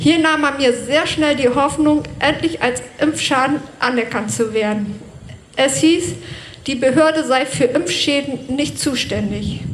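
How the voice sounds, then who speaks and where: The speech comes at a very slow pace with ordinary pitch variation, noticeable background noise and audible room echo. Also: woman, high pitch for a woman. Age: 40s. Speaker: bus driver speaking at a protest rally. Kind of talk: prepared speech at a rally. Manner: read from a script.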